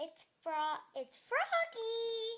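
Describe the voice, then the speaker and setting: A woman does a put-on character voice that is squeaky, croaky and extremely high in pitch. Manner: croaking.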